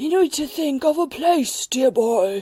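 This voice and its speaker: A wheezy, high-pitched put-on character voice at a fairly slow pace. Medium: read story.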